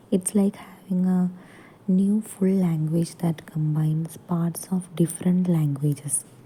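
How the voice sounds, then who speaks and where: A woman with a Keralan accent speaks fairly slowly in a fairly low pitch with a dark, mellow, somewhat breathy tone. Her intonation is fairly even and her loudness very even. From Kerala, India. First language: Malayalam. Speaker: teacher. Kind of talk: lecture. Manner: halting.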